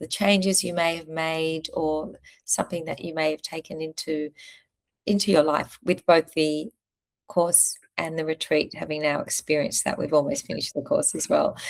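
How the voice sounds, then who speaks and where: A woman speaks at a moderate pace in a plain, everyday voice, pitched fairly low. Her intonation is fairly even, and the sound is dry and close with no echo. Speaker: yoga instructor and menopause coach. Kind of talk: interviewer questions.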